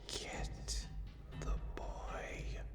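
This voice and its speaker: A raspy, put-on character voice over loud background noise. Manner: commanding, eerie.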